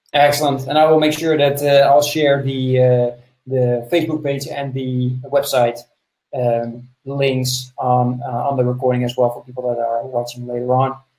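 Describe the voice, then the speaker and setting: Medium in pitch and somewhat breathy, a man speaks with monotone, flat intonation. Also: moderate pace. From Netherlands. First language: Dutch. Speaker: podcast host. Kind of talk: interview.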